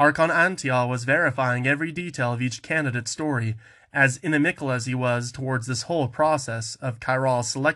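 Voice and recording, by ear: A natural voice, reading aloud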